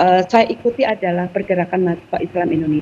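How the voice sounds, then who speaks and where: This is a plain, everyday voice whose pitch varies in an ordinary way. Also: woman. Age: 50s. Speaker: Islamic student organization alumna. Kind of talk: talk show interview.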